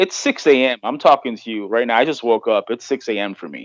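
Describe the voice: In a put-on character voice, a hoarse man at medium pitch speaks at a fairly quick pace with big swings in loudness, the sound dry and close with no echo.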